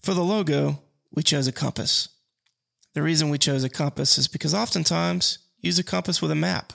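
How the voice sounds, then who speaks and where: On a very clean recording with a silent background and a dry, close sound with no echo, a man with an Alabama accent speaks at a fairly quick pace. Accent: Southern US (Alabama). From US South, Mobile, Alabama. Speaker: podcast host and financial advisor. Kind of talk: casual solo podcast monologue.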